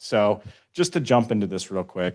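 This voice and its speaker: Against a quiet background, a man with a fairly low pitch speaks with ordinary pitch variation. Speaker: city transportation engineer presenting. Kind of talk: public meeting presentation. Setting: community meeting room with audience. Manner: fast.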